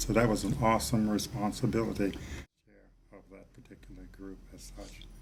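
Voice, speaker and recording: A man with an American accent talks at a moderate pace. There is audible room echo. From Baltimore, US. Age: 80s+. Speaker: civil rights leader, former state treasurer. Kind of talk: interview.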